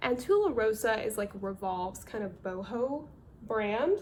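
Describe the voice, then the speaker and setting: A woman speaks with a North Carolina accent. Her fairly high voice keeps a fairly slow pace. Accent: Southern US, North Carolina. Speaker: part-time clothing reseller. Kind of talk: casual talk to camera, thrift haul.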